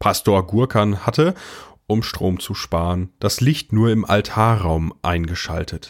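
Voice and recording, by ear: On a very clean recording with a silent background, a man speaks at a fairly slow pace with a fairly low pitch and ordinary pitch variation.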